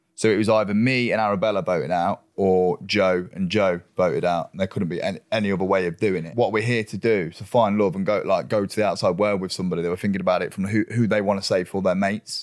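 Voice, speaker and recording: Very fast and fairly low-pitched, a man speaks with an English accent and fairly even intonation. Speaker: reality TV contestant. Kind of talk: casual chat. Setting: studio. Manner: loud.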